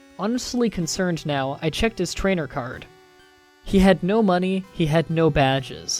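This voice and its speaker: Moderate pace, with music in the background. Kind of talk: horror story reading.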